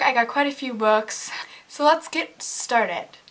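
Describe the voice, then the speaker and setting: With lively intonation, a woman talks over noticeable background noise. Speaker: book vlogger. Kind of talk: casual vlog talk. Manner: casual, filler-heavy.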